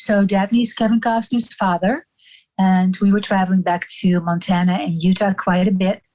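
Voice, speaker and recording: Somewhat breathy and dark, mellow in tone, a woman speaks with very even loudness and fairly even intonation. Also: medium pitch for a woman, moderate pace. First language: Dutch. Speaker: actor and personal assistant. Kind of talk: casual interview chat.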